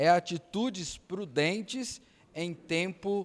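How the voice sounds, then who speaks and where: A man with lively intonation in a very clean recording with a silent background. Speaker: pastor. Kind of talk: Bible study lesson. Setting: church.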